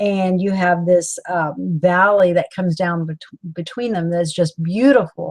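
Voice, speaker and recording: A woman talks with a Southern US accent and fairly even intonation. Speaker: author leading a book club. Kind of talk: live-stream book club talk. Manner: halting, many fillers.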